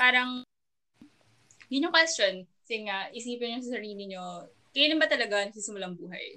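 With a bright, sharp tone and a fairly high pitch, a woman talks at a fairly quick pace, her loudness swinging widely and her intonation lively, broken by long, frequent pauses. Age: 20s. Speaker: podcast co-host.

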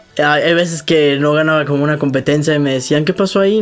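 Speaking at a moderate pace, a man with a fairly high pitch keeps a fairly even intonation while noticeable background noise plays behind him. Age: 20s. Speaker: triathlete. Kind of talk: casual interview.

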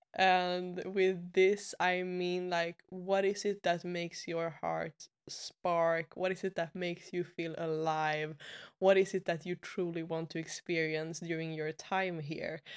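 Fairly slow and monotone, a woman speaks at a fairly low pitch with flat intonation and a Swedish accent. The recording is very clean, with a silent background and a dry, close sound with no echo. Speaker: podcast host and web designer. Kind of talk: casual interview conversation.

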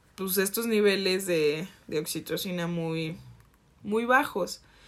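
A woman's voice with a Jalisco accent. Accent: Jalisco Mexican Spanish. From Mexico, Jalisco. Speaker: podcast co-host. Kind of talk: casual chat.

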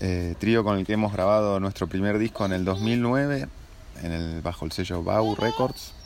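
Speaking fairly slowly in a Rioplatense accent, a man uses a fairly low pitch with ordinary pitch variation. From Buenos Aires, Argentina. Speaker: jazz pianist and composer. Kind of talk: interview. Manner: halting, many fillers and repetitions.

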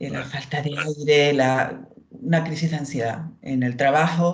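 The woman's voice is very deep and low in pitch, and somewhat breathy. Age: 50s. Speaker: former anxiety patient. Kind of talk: testimony.

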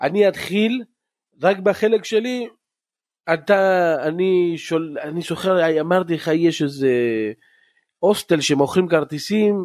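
Very slowly and with ordinary pitch variation, a high-pitched man speaks in a very clean recording with a silent background. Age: 40s. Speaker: podcast host, football ultras fan. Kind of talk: casual chat.

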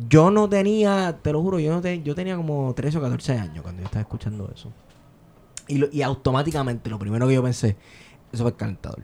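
Fairly high in pitch yet dark and mellow in tone, this man's voice swings very widely in pitch. He speaks at a very fast pace. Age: 30s. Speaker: podcast host. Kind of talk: casual chat.

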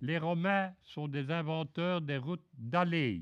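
The speech is very slow, with ordinary pitch variation. The background is quiet. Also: man. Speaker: retired railway worker. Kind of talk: prepared talk read aloud. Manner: formal.

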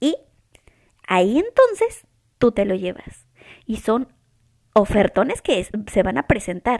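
Using lively intonation, a woman with a fairly high pitch speaks at a fairly slow pace with long, frequent pauses. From Mexico. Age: 20s. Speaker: podcast host. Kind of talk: casual chat. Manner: serious, hesitant.

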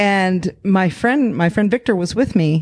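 A woman speaks in a normal speaking voice at a moderate pace, her medium pitch carried by lively intonation. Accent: American. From Arizona, Phoenix area. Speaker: comedy troupe performer. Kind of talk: casual chat. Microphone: held too far from mouth.

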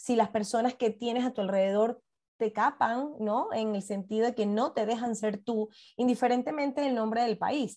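A woman with a Venezuelan accent speaks at a fairly slow pace against a quiet background. Her fairly high voice has a dark, mellow tone and fairly even intonation. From Venezuela, Puerto La Cruz. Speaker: podcast guest, mother. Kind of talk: interview conversation.

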